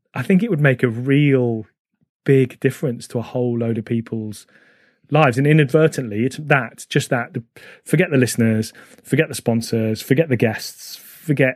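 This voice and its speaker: Speaking at a moderate pace, a man with a medium-pitched, plain, everyday voice shows ordinary pitch variation. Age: 40s. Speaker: running charity executive and podcast host. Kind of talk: interview.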